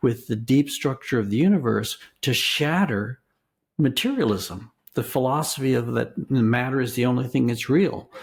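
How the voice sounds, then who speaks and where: A man talks with a somewhat breathy quality, keeping a moderate tempo, a medium pitch and ordinary variation in pitch. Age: 70s. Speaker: philosophy and religious studies professor. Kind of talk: interview. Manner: halting; thoughtful.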